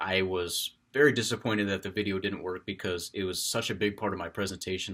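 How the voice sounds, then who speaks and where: A man with a very deep, low voice and fairly even intonation, on a very clean recording against a silent background. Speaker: college student. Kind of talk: class speech. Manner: properly paced; loud, projected.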